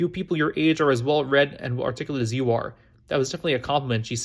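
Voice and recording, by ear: Pitch varies in an ordinary way. The text is read aloud in a natural voice.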